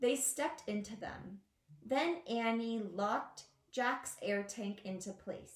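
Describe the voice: Simple, plain reading aloud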